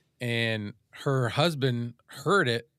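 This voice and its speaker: A man's voice with ordinary pitch variation, dry sound without echo, and a quiet background. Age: 50s. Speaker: podcast co-host. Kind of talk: casual chat. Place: home room. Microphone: studio mic.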